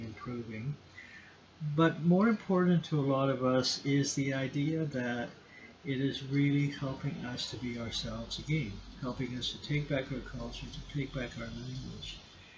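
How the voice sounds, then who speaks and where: Amid audible room echo, a man speaks at a medium pitch and moderate pace with fairly even intonation. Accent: Canadian. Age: 60s. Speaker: lecturer. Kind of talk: lecture. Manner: halting.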